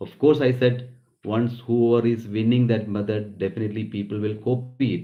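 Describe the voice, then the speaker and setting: The pace is moderate. The speaker has a Keralan accent. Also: man. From Kerala, South India. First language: Malayalam. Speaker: nurse and business founder. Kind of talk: business talk. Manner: halting.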